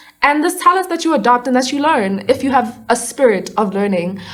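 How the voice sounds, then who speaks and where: A woman's high voice at a fairly quick pace, with very wide pitch swings and noticeable background noise. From South Africa, Johannesburg. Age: 20s. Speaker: actor, dancer and musician. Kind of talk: casual interview.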